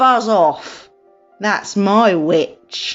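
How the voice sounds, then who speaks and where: A female-sounding, put-on character voice, growling, croaky and shrill, at a medium pitch, with faint music in the background. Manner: menacing, fierce.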